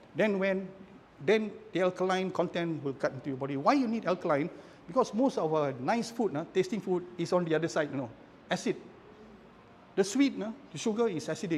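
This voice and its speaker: A man with a high pitch talks at a very fast pace with lively intonation, broken by long, frequent pauses. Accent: Malaysian. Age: 60s. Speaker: architect, cancer survivor. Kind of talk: casual talk in book club sharing.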